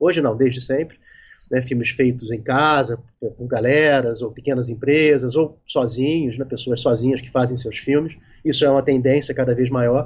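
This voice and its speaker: A somewhat breathy voice at a moderate pace, with fairly even intonation. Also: man, medium pitch for a man. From Rio de Janeiro, Brazil. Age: 50s. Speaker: independent filmmaker. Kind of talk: casual interview on a live stream.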